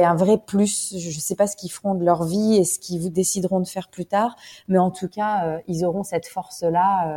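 Moderately paced, a woman speaks at a medium pitch with fairly even intonation. Her tone is dark and mellow. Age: 30s. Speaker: expat mother, small business owner. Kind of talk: interview testimony.

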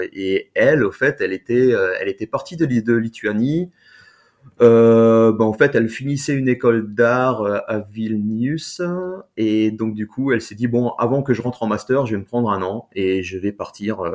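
A man with a normal speaking voice talks at a fairly slow pace. His pitch is medium, with ordinary pitch variation. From France. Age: 40s. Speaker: expat father. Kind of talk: interview testimony.

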